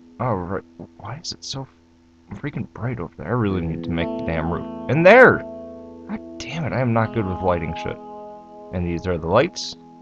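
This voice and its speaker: Over music in the background, a man with a very deep, low pitch talks at a moderate pace with lively intonation, big swings in loudness and long, frequent pauses. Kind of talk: casual gameplay voice-over.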